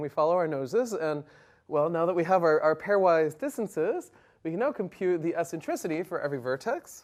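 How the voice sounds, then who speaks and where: A fairly quick pace against a quiet background. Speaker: university lecturer. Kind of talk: lecture. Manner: fast.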